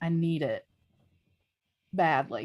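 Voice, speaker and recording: The tone is animated. The speaker has a strong Southern US accent. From US South. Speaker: livestream host. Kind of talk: casual chat.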